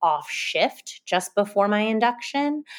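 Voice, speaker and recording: Using an ordinary speaking voice, a woman with an American accent talks at a fairly slow pace with fairly even intonation. The recording is very clean, with a silent background. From New Jersey and Massachusetts. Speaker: college counselor, new mother. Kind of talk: birth story interview.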